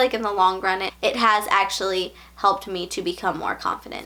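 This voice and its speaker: With an American accent, a woman speaks in a bright, sharp tone. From Virginia. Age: 20s. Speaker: lifestyle vlogger. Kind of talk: casual vlog talk. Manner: animated.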